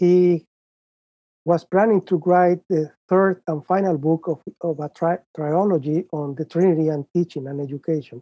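The speaker is a man with a high pitch. He talks with a Spanish accent. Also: moderate pace. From Mexico, Guadalajara. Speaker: professor. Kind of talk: interview.

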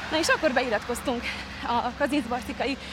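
Noticeable noise sits behind a woman speaking with a high pitch. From Hungary, Kazincbarcika. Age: 20s. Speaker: reality show contestant and former athlete. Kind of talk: casual interview while running. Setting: outdoors, park island.

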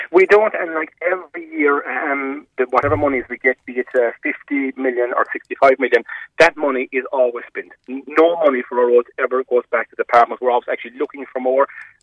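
With a Cork accent, a man speaks at a fairly quick pace. His pitch is fairly high and his intonation fairly even. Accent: Cork Irish. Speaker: local councillor. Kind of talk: radio interview.

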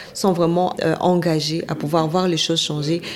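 Over noticeable background noise and audible room echo, a woman speaks at a moderate pace in a fairly low pitch with monotone, flat intonation. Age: 20s. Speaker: journalist. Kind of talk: interview.

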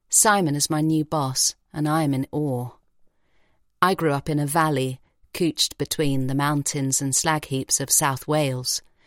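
Very deep and low in pitch for a woman, her voice has a warm tone and fairly even intonation, moving at a fairly slow pace on a very clean recording with a silent background and a dry, close sound with no echo. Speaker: audiobook narrator. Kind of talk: literary audiobook reading, first-person narration. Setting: studio. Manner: warm, vivid, measured storytelling.

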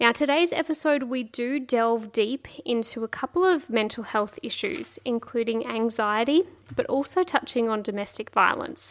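A woman with an Australian accent, high in pitch, lively in intonation, at a moderate pace with hardly any pauses. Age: 30s. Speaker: podcast host. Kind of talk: scripted narration; casual chat. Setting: guest's kitchen at home.

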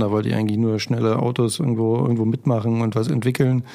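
A man talks at a medium pitch with a dark, mellow tone. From Germany, rural farm. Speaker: entrepreneur and startup founder. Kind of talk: casual interview.

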